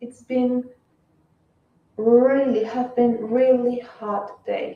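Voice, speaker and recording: Very slow speech from a woman with a high pitch, with audible room echo. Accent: Spanish. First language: Spanish. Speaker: fashion livestreamer. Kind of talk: casual live stream chat.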